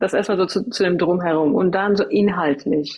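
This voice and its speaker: A woman speaks with an Iranian accent. Her pitch is medium. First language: Farsi (speaking German). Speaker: coach and trainer. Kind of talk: interview.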